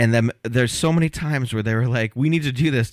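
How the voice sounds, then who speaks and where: At a fairly quick pace, a man talks in a plain, everyday voice with medium pitch and ordinary pitch variation, captured in a very clean recording against a silent background. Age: 40s. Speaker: comedian. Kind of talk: casual chat. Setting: studio.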